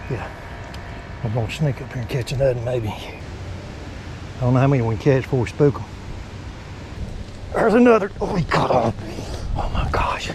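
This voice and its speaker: With an American accent, a man at a medium pitch uses lively intonation and long, frequent pauses, amid noticeable background noise and audible room echo. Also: moderate pace. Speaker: fishing channel host. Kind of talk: outdoor vlog narration. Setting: outdoors by a creek. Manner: animated.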